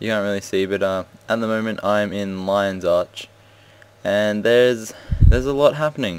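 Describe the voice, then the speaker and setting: A man's fairly low voice at a moderate pace, with ordinary pitch variation and an ordinary speaking voice. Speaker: gaming video creator. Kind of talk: casual gameplay commentary.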